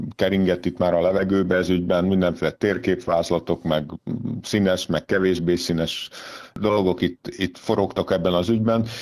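Very deep and low in pitch, a man talks at a moderate pace with fairly even intonation. The recording is very clean, with a silent background. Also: very even loudness. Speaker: football club sporting director. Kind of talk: interview. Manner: halting, many filler repetitions.

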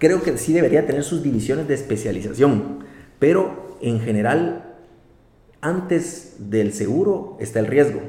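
A man's fairly high voice amid audible room echo and noticeable background noise. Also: lively intonation. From Guatemala. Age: 30s. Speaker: insurance executive. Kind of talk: interview.

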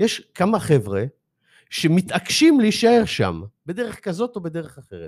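Recorded very cleanly against a silent background, a man speaks at a fairly slow pace with big swings in loudness. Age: 60s. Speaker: author and life coach. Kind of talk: interview. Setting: studio. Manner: halting.

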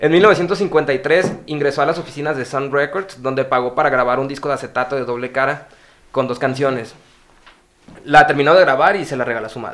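Noticeable background noise surrounds a man speaking at a fairly quick pace. His pitch sits fairly high, with ordinary variation. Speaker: podcast host. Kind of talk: reading aloud.

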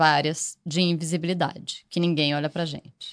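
A woman with a normal speaking voice, fairly low in pitch, at a moderate pace over a quiet background. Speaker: podcast producer. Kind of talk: casual chat.

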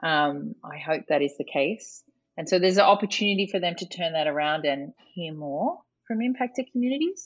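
In an Australian accent, a woman speaks at a fairly low pitch and a fairly quick pace with lively intonation over a quiet background. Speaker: climate policy expert. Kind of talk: interview.

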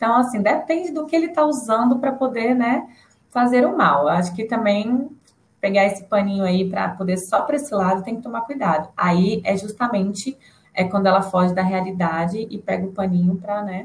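Speaking at a fairly quick pace, a woman uses lively intonation at a medium pitch. Her voice is somewhat breathy. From Brasília. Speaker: psychologist. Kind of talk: casual chat.

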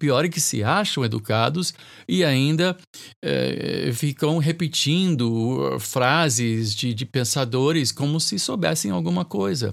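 Very slow speech with lively intonation in a very clean recording against a silent background. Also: man, medium pitch for a man. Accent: slight non-native. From North America (Canadian-American family), raised in Brazil. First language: English (speaking Portuguese). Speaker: bishop and podcast host. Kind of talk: solo podcast commentary. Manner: hesitant, with fillers and repetitions.

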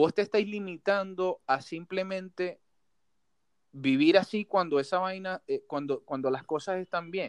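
High-pitched male speech, dry and close, with no echo. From Venezuela, Maracaibo (Zulia). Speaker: podcast host. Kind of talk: casual chat. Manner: casual, slangy.

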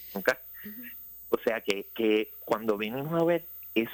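With a medium pitch and ordinary pitch variation, a man talks at a fairly slow pace in a dry, close sound with no echo. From Puerto Rico, Ponce. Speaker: infectious disease doctor. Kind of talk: radio interview. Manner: halting, many fillers and repetitions.

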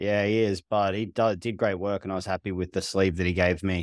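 A man with a normal speaking voice talks at a fairly quick pace, his pitch fairly low and his intonation fairly even, on a very clean recording with a silent background and a dry, close sound with no echo. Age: 40s. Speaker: therapist. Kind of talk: casual chat.

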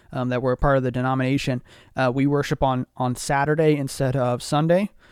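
A man talks at a fairly quick pace in an ordinary speaking voice, his pitch fairly high and his intonation fairly even. The very clean recording has a silent background and a dry, close sound with no echo. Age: 20s. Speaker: podcast host. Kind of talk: casual chat.

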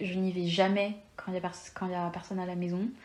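A woman speaks at a moderate pace. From France (Lyon). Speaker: podcast guest. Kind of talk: casual chat.

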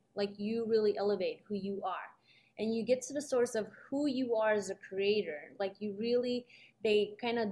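Fairly high in pitch yet dark and mellow in tone, a woman's voice moves at a moderate pace with fairly even intonation. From Uzbekistan, raised in New York City. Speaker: realtor. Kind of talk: casual chat. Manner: hesitant, many fillers.

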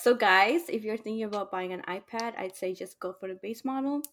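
At a moderate pace, a woman talks in a plain, everyday voice at a medium pitch with ordinary pitch variation. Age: 20s. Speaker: podcast co-host, business student. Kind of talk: casual chat.

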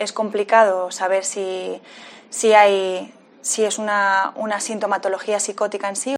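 Her medium-pitched voice stays monotone and flat as the woman talks at a fairly slow pace. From Canary Islands, Tenerife (La Laguna). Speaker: psychiatry resident. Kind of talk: interview. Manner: halting, repeats words.

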